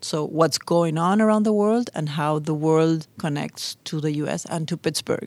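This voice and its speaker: A woman with a Spanish accent speaks at a moderate pace. Her pitch is fairly low, with ordinary variation. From Argentina. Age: 50s. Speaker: immigrant interviewee, nonprofit executive. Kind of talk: personal interview testimony.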